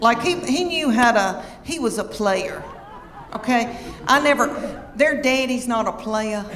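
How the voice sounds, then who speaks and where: A woman's fairly high voice at a fairly slow pace, with ordinary pitch variation and noticeable background noise. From Southern United States. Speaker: stand-up comedian. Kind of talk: stand-up comedy set.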